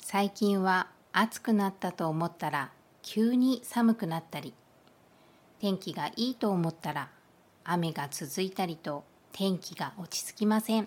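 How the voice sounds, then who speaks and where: In a very clean recording with a silent background, a woman with an ordinary speaking voice talks fairly slowly at medium pitch with ordinary pitch variation. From Kyushu, Japan. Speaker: Japanese language teacher. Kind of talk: language lesson monologue. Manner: slow, clear.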